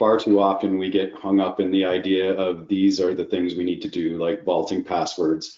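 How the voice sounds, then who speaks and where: The man's voice sits fairly low in pitch. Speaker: IT security practitioner. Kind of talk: webinar presentation. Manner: fast.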